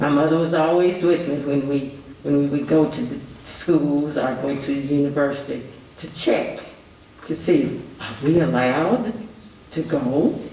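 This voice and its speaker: A man with a Kentucky accent speaks at a fairly slow pace and a fairly high pitch, with ordinary pitch variation. There is audible room echo and noticeable background noise. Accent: Kentucky Southern US. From Kentucky, Nicholasville (Jessamine County). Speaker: panelist, former student. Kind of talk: panel discussion testimony.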